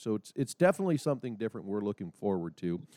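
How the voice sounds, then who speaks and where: A man talks very fast with an American accent. The recording sounds dry and close, without echo. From Nebraska. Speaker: podcast host for an equipment company. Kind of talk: casual interview.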